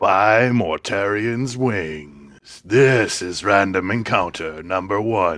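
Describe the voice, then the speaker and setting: A man puts on a theatrical character voice at a fairly low pitch. He speaks at a very slow pace with hardly any pauses. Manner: epic, theatrical.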